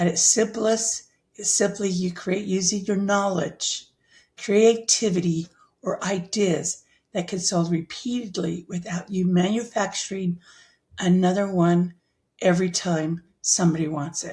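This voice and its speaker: This voice has a dark, mellow tone, somewhat breathy, delivered at a fairly slow pace with fairly even intonation. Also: woman, medium pitch for a woman. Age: 60s. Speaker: online business educator. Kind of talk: tutorial.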